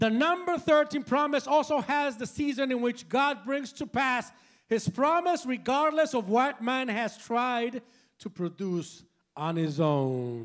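A man with a Spanish accent speaks in an extremely high pitch at a fairly slow pace, his intonation lively. The recording is very clean, with a silent background. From Puerto Rico, San Juan. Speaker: preacher. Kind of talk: bilingual sermon. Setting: church with congregation. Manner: animated, loud.

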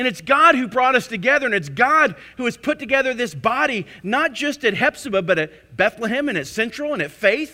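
The voice is raised and projected. It moves at a fairly quick pace. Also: man. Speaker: pastor. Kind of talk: sermon. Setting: church.

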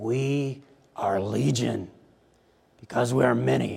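A man puts on a character voice, talking fairly slowly at a medium pitch. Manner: menacing, infernal.

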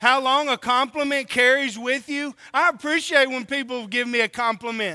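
Raised and projected, a man's voice has an extremely high pitch and a bright, sharp tone. He moves at a moderate pace with hardly any pauses and ordinary pitch variation. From Oklahoma and California. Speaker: preacher. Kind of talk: sermon. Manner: animated.

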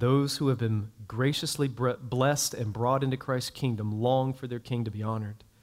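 Here is a man with an ordinary speaking voice, pitched at a medium level. He keeps a moderate pace and fairly even intonation. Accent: American. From US South, North Florida (Jacksonville). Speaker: pastor. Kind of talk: sermon.

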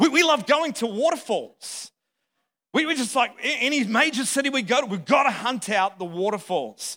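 A man speaks at a moderate pace in a raised, projected voice with an extremely high pitch. His tone is bright, sharp and animated, with lively intonation. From Australia or New Zealand. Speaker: visiting pastor. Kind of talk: sermon. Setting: church with congregation. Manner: animated, humorous.

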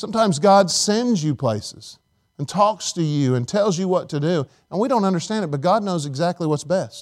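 Lively intonation and a fairly quick pace come through on a very clean recording with a silent background. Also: man, high pitch for a man. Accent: American. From Indiana, US Midwest. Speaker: pastor. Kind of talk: sermon. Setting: church.

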